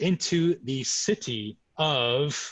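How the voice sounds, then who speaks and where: A man with an American accent and a fairly high, somewhat breathy voice uses lively intonation against a quiet background. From US Midwest, Chicago. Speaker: sake importer, co-host. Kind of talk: virtual tour presentation. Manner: halting, many fillers.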